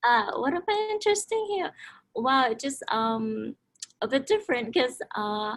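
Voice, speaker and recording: The pace is fairly slow. The pitch swings very widely. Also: woman, high pitch for a woman. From Cambodia. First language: non-English. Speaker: college student. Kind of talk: panel interview. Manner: halting, many fillers.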